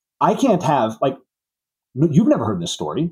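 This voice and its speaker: Using an American accent, a man with a dark, mellow tone and vocal fry speaks with very wide pitch swings. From Southwest Missouri. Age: 30s. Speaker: auto repair shop owner. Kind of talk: interview.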